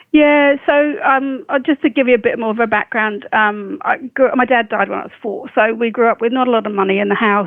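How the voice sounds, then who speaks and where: Her voice is high-pitched as this woman speaks at a fairly quick pace. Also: ordinary pitch variation. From southern England (Farnborough, Hampshire). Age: 60s. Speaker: biomedical scientist. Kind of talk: interview. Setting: podcast interview.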